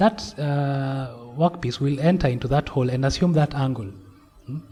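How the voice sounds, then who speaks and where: Noticeable background noise beneath a man speaking at a medium pitch. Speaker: lecturer. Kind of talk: online lecture. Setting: video call. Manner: halting, with repetitions.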